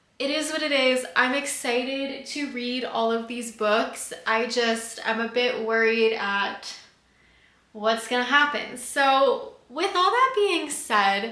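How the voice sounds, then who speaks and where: A woman speaks at a high pitch and a very slow pace. Audible room echo surrounds her. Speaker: book youtuber. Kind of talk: casual vlog talk to camera. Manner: flat, not very expressive.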